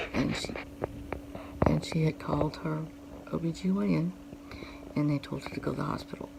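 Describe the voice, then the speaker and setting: The speaker talks at a fairly quick pace with very wide pitch swings and long, frequent pauses, against noticeable background noise. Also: woman, very deep, low pitch for a woman. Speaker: vlogger. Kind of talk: personal vlog. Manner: halting.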